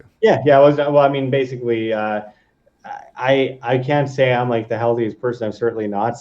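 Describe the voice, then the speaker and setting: A man's plain, everyday voice, medium in pitch, with fairly even intonation at a moderate pace. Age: 20s. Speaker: video creator and former musician. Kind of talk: casual chat. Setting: live stream.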